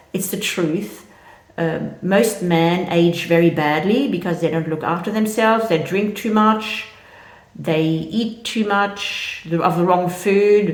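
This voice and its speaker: A woman speaks at a very slow pace and a medium pitch, with ordinary pitch variation. Noticeable background noise and audible room echo surround her. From French-speaking country. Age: 60s. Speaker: vlogger. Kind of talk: casual monologue. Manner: hesitant, many fillers.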